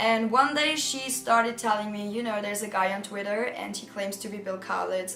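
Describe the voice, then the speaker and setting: A woman with a German accent speaks at a moderate pace. There is audible room echo and music in the background. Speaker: youtuber. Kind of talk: storytime vlog. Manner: casual, animated.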